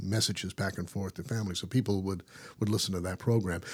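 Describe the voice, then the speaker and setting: A man speaks with a very deep, low pitch at a fairly quick pace. His intonation stays fairly even on a very clean recording with a silent background. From Newfoundland, Canada. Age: 60s. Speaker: radio broadcaster. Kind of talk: casual interview chat.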